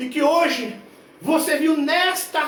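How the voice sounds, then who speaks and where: A man's extremely high pitch, energetic tone and ordinary pitch variation, with audible room echo and noticeable background noise. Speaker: preacher. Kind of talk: sermon. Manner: energetic, forceful.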